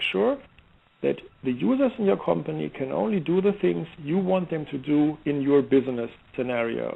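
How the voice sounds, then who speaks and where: At a moderate pace, a man speaks with a German accent. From Germany, Heidelberg. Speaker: software security expert. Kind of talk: interview. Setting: online radio show. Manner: halting, many fillers and restarts.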